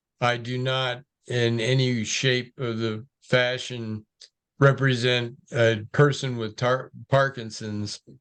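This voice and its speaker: This man speaks at a medium pitch and a very slow pace. His intonation is monotone and flat. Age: 60s. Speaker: Parkinson's patient. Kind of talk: group discussion.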